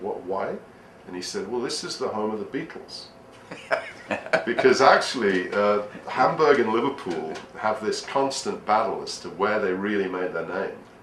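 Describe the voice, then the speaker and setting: Over noticeable background noise and audible room echo, a man with an English accent pauses long and often, his loudness swinging widely. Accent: typical English. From northern England. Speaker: history speaker. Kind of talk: casual interview chat.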